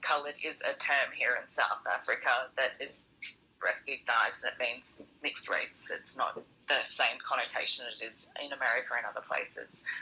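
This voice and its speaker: Woman with an Australian accent, at a moderate pace. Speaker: long covid patient, audience participant. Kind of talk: casual panel discussion. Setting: audio chat room.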